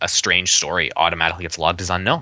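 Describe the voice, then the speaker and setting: This is a man's voice. He has a Canadian Prairie accent. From Canadian prairies, Winnipeg. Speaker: UFO field investigator and writer. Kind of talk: casual interview conversation.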